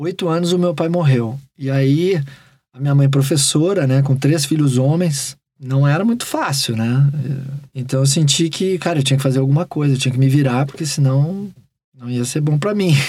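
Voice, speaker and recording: Somewhat breathy and dark, mellow in tone, a man speaks at a moderate pace with a fairly high pitch. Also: ordinary pitch variation. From Porto Alegre, southern Brazil. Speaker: rock musician. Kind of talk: interview. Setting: home studio.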